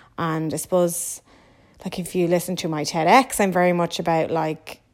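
With an Irish accent, a woman speaks at a moderate pace and fairly low pitch in a very clean recording with a silent background. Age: 30s. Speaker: podcast host. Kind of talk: casual solo monologue. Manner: animated.

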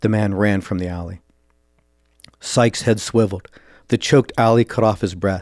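A man with a fairly low pitch speaks at a moderate pace in a dramatic tone, his intonation fairly even. Long pauses come often, and the sound is dry and close with no echo. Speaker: podcast host and author. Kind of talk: dramatic narration of a short story, read aloud. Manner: measured, dramatic storyteller pacing with tense, vivid delivery.

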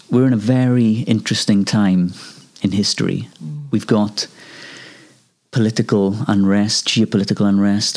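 With a Welsh accent, a man speaks at a fairly low pitch. His intonation stays fairly even. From Wales. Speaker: singer-songwriter. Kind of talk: interview.

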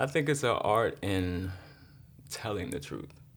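A man with vocal fry and a fairly low pitch talks at a very slow pace amid audible room echo. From Baltimore and Miami. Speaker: host's husband. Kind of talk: casual chat.

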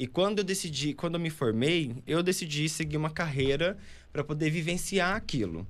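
A man's fairly high voice with vocal fry, ordinary pitch variation and a moderate pace. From Pará, northern Brazil. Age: 20s. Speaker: architect. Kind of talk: casual interview chat.

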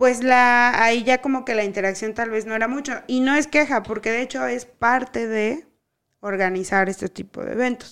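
Fairly even intonation and a moderate pace come across in a very clean recording with a silent background. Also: woman, fairly high pitch for a woman. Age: 30s. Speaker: tech podcast co-host. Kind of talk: casual chat. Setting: home recording, not a professional set.

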